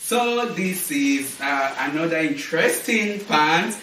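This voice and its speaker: A man talks at a very slow pace. Audible room echo and noticeable background noise fill the recording. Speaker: fashion and lifestyle vlogger. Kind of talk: casual unboxing vlog. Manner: animated.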